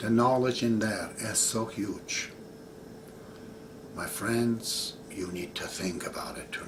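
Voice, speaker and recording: Amid noticeable background noise and audible room echo, a man speaks fairly slowly at a medium pitch with fairly even intonation. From Iran. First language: Persian. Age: 60s. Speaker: religious teacher. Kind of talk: video monologue.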